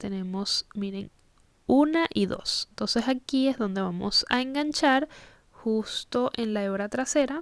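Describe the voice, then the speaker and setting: This woman's voice is high. The variation in her pitch is ordinary. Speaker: crochet instructor. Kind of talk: tutorial. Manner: halting.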